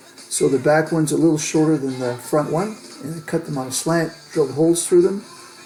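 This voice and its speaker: With music in the background, a man talks at a fairly quick pace in a fairly high voice, his pitch varying in an ordinary way. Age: 60s. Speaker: hobbyist video creator. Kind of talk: tutorial. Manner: casual, hesitant with fillers.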